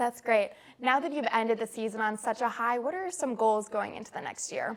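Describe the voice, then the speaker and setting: Talking at a fairly quick pace, a woman has a fairly high pitch and an unremarkable speaking voice. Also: ordinary pitch variation. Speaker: student sports reporter. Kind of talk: interview host questions.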